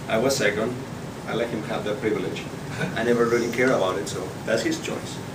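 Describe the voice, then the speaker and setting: Amid noticeable background noise and audible room echo, a man speaks very fast with a Spanish accent. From Spain, Barcelona. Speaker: public speaking club member. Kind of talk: prepared speech.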